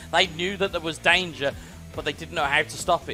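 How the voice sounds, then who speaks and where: At a fairly quick pace, the speaker talks in a British accent with ordinary pitch variation. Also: man. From United Kingdom. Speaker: esports commentator. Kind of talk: live commentary. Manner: animated.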